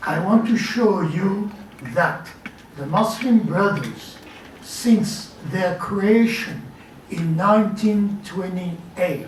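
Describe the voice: A man with a high voice speaks at a slow pace with ordinary pitch variation and audible room echo.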